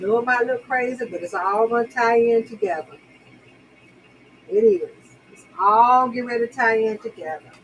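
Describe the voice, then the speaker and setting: Over noticeable background noise, a woman with a fairly high pitch talks at a moderate pace with ordinary pitch variation, big swings in loudness and long, frequent pauses. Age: 60s. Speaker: makeup livestream host. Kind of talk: casual live makeup tutorial. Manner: chatty, repetitive.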